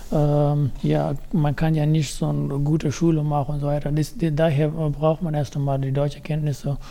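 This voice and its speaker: With a dark, mellow tone, a man speaks in a fairly high, monotone, flat voice at a moderate pace with hardly any pauses. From Afghanistan. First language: not German (speaking German). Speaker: youth program participant. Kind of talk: casual interview. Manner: halting.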